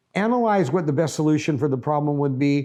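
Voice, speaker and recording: Dark, mellow tone from a man, ordinary pitch variation, quiet background. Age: 70s. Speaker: business owner. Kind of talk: motivational talk.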